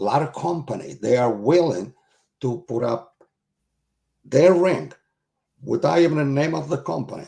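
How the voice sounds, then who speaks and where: At a moderate pace and medium pitch, a man speaks with vocal fry and a dark, mellow tone, with very wide pitch swings and long, frequent pauses. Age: 70s. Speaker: retired wrestling promoter. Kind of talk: interview.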